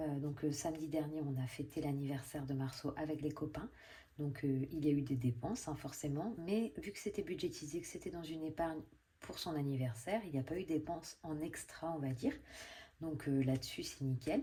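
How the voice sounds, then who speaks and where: This woman is soft-spoken and somewhat breathy, her tone dark and mellow. She talks at a moderate pace in a very deep, low pitch. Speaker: budgeting vlogger. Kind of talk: casual vlog. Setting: at home. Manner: hesitant, many fillers.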